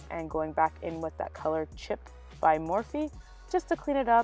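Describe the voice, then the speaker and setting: There is music in the background while a woman talks. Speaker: beauty YouTuber. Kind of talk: makeup tutorial voiceover.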